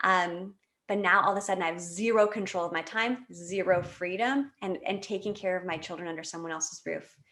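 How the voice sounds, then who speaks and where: Her tone is animated and her pitch sits in the medium range for a woman. The woman's pitch varies in an ordinary way. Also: fairly quick pace. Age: 30s. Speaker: podcast guest, network marketer and mother. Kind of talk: casual interview chat, personal story. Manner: animated, with many fillers and restarts.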